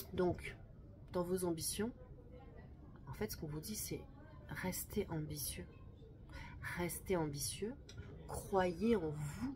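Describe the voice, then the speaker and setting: In a room with audible echo, a woman talks very slowly at a fairly low pitch with ordinary pitch variation. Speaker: tarot card reader. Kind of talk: monthly tarot energy reading. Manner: calm, measured; slower than usual.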